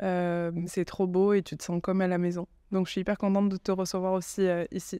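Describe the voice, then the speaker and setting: A dark, mellow tone with monotone, flat intonation at a fairly quick pace, in a dry, close, echo-free, very clean recording with a silent background. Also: woman, medium pitch for a woman. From southern France, Aveyron. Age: 30s. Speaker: communications agency founder. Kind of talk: podcast interview. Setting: hotel.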